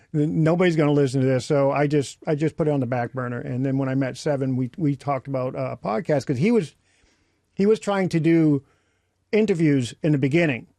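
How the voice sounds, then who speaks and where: A man with a dark, mellow tone talks at a very fast pace, the sound dry and close with no echo. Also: fairly high pitch for a man, ordinary pitch variation. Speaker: podcast co-host. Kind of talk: casual chat.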